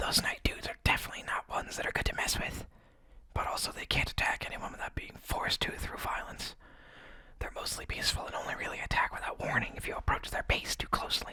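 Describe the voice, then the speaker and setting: Over noticeable background noise, a man whispers at a very fast pace. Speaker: radio show host and voice actor playing a bunker radio host character. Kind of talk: post-apocalyptic radio broadcast, audio drama. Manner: whispered, annoyed, sarcastic.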